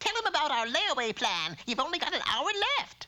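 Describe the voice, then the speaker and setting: A high-pitched cartoonish character voice at a fairly quick pace, full of very wide pitch swings. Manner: brassy, calls people honey and dearie.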